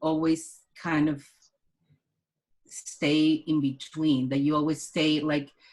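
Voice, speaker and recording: Very slow speech in a Mexican accent. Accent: Mexican Spanish accent, moderate to thick. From Mexico, Culiacan. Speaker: artist and curator. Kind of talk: casual interview conversation.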